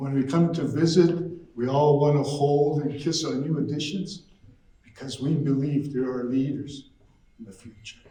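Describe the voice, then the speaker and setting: A man's somewhat breathy voice at a moderate pace, fairly high in pitch with fairly even intonation, big swings in loudness and audible room echo. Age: 60s. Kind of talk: storytelling to an audience.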